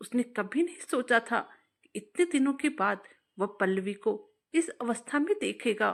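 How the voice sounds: Intonation is lively, and the tone is fairly bright with vocal fry. The pace is fairly slow. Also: woman, fairly high pitch for a woman.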